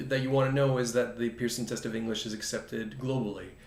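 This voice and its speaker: A man talks at medium pitch. Audible room echo surrounds his voice. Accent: Canadian. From Canada. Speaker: test company representative. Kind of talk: presentation.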